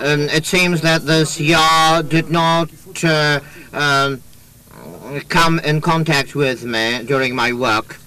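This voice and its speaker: Against noticeable background noise, a man with a fairly high pitch speaks at a very slow pace, with fairly even intonation and long, frequent pauses. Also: very even loudness. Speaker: lawyer. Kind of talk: courtroom questioning. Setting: courtroom.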